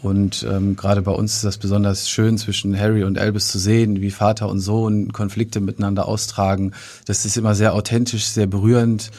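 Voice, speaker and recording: A man speaks at a fairly low pitch with a dark, mellow tone, monotone, flat intonation and a moderate pace. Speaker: theatre manager. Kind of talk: casual interview. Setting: studio. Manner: hesitant with filler sounds.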